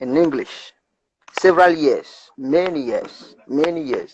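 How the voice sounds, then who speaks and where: Very slowly, a man speaks in a dry, close sound with no echo. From Cameroon, Ebodje village. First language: Iyasa. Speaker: language activist. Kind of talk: interview conversation. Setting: video livestream. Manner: animated, repetitive.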